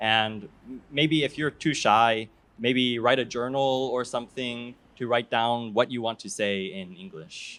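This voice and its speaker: An ordinary speaking voice, this man's has a medium pitch and big swings in loudness. He speaks at a fairly slow pace with an American accent. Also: ordinary pitch variation. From Hawaii, raised in several countries. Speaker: doctoral student, seaweed researcher. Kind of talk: interview on festival stage.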